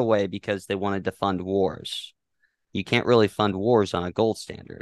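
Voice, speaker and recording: Fairly slow speech with fairly even intonation, a dry, close sound with no echo and a quiet background. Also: man. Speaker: guest discussing finance and politics. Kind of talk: casual interview explaining topics. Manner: halting, hesitant, repeats words.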